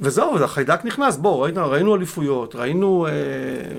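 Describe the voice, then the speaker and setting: A man speaks with ordinary pitch variation while noticeable background noise is heard. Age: 50s. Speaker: football club security officer. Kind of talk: casual interview. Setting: studio.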